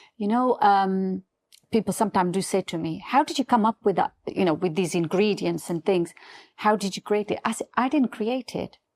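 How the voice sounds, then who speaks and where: A woman at medium pitch with a non-native accent, ordinary pitch variation and a moderate pace, on a very clean recording with a silent background and a dry, close sound with no echo. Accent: non-native English, noticeable. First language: not English. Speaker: beauty brand founder. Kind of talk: podcast interview. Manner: halting.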